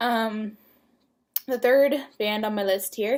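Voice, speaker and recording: At a moderate pace, a woman is talking. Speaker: vlogger. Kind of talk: casual vlog. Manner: hesitant, many fillers.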